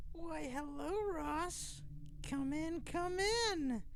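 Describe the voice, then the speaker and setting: A man uses a put-on character voice that is squeaky and extremely high in pitch. He speaks at a very slow pace over clear background noise. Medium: read story.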